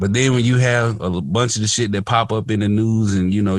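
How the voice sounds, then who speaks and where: Speaking with a Mississippi accent, a man keeps a fairly low pitch and fairly even intonation. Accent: Mississippi Southern US. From US South, Hattiesburg, Mississippi. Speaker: podcast host. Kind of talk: casual podcast chat.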